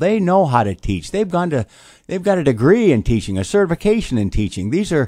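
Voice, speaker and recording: Speaking with an American accent at a moderate pace, the voice swings very widely in pitch. The sound is dry and close with no echo, on a very clean recording with a silent background. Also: man. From US Midwest (Toledo, Ohio). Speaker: school board candidate. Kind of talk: radio interview. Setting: studio. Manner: halting, many fillers.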